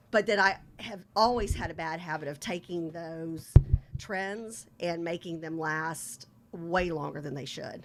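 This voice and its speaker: At a fairly slow pace, a woman speaks in a fairly low voice with ordinary pitch variation and big swings in loudness, over noticeable background noise. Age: 50s. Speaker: podcast co-host, former teacher. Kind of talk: casual chat. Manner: animated.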